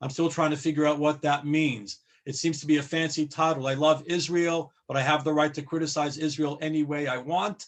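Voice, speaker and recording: Speaking at a moderate pace, a man with a fairly high pitch has an unremarkable speaking voice. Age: 60s. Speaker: rabbi. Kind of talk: panel discussion. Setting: video call.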